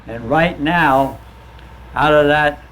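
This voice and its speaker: A man with an American accent, with audible room echo and noticeable background noise. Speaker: war veteran. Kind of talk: testimony. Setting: stage with audience.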